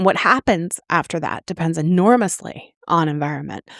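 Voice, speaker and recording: An unremarkable speaking voice moves at a moderate pace on a very clean recording with a silent background. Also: woman. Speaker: author and podcast host. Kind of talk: podcast talk. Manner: casual, conversational, with fillers.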